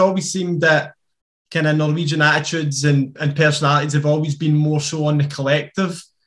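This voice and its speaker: A man talks at a fairly quick pace with a Scottish accent. The background is quiet. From Scotland. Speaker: podcast co-host. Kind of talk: interview question. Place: home room. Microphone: webcam.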